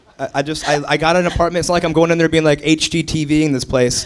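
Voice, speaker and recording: Against noticeable background noise, a man with an American accent talks at a very fast pace in a fairly high pitch. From Ohio, US Midwest. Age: 30s. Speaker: comedian. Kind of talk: casual chat. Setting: stage with audience.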